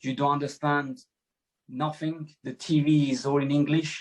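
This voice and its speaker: With a French accent, a man speaks in a monotone, flat intonation. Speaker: former footballer. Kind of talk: podcast interview. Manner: halting.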